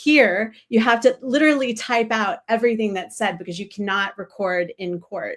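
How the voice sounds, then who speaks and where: Her unremarkable speaking voice fairly high in pitch, a woman speaks at a moderate pace with hardly any pauses, ordinary pitch variation and big swings in loudness. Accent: American. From United States. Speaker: journalist. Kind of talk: panel discussion. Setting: live stream.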